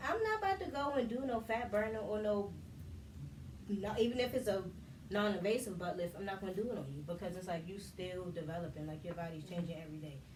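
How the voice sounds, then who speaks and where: A soft-spoken voice races along at a very fast pace with ordinary pitch variation. Audible room echo and noticeable background noise fill the recording. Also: woman, medium pitch for a woman. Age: 30s. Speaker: video podcast host and body contouring business owner. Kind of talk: casual group discussion.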